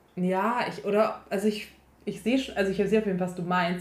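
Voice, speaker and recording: Audible room echo fills the space around a woman's voice. She speaks at a medium pitch with fairly even intonation. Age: 20s. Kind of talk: casual chat.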